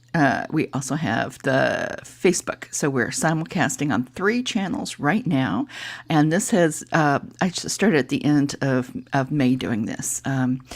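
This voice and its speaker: Her pitch is very deep and low, with very wide swings. The woman speaks at a fairly slow pace. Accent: American. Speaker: livestream host. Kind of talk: casual live stream chat. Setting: live stream. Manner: halting, many fillers.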